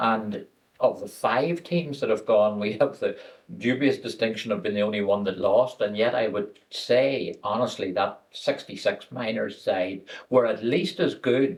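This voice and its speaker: A man with a Northern Irish accent speaks at a fairly slow pace. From Northern Ireland, County Down. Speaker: former Gaelic football player. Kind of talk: casual chat. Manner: halting.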